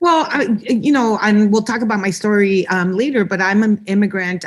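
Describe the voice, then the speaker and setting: A plain, everyday voice from a woman, with ordinary pitch variation at a moderate pace. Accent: American. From Los Angeles, California. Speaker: state legislator. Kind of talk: interview. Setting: podcast.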